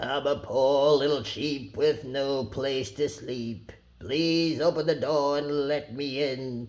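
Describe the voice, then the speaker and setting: Putting on a character voice, a man speaks fairly slowly at a fairly high pitch, with hardly any pauses. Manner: sweet, coaxing.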